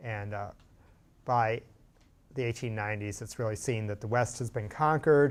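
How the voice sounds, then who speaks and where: Here a man speaks at a medium pitch. His intonation is fairly even. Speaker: history teacher. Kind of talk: lecture. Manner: fast; halting.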